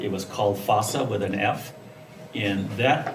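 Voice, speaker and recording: A man with an American accent speaks at a fairly low pitch. Noticeable background noise and audible room echo are present. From California, Salinas Valley. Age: 70s. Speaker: alumnus guest speaker. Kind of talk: interview talk.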